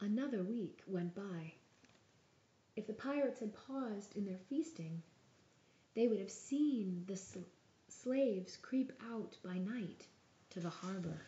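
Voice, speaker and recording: Soft-spoken and somewhat breathy, a woman with a gentle tone and medium pitch talks at a fairly slow pace with lively intonation and long, frequent pauses. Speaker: ASMR storyteller. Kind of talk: bedtime story reading. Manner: soft-spoken, gentle.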